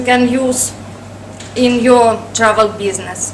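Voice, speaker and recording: A woman's high, monotone voice with a Russian accent at a very slow pace, with flat intonation, audible room echo and noticeable background noise. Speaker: travel agency director. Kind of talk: presentation. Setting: workshop audience. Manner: hesitant, many fillers.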